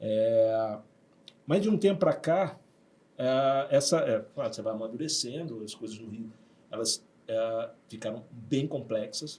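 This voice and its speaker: A man with a medium pitch and a dark, mellow tone talks at a fairly slow pace, with long, frequent pauses. His intonation is lively, and his loudness swings widely. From Rio de Janeiro, Brazil (Zona Sul). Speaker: university director. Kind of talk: podcast interview. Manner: hesitant, many fillers.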